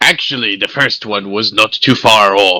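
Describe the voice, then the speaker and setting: A man's put-on character voice, fairly low in pitch, at a moderate pace. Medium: actual play. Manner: folksy, wry.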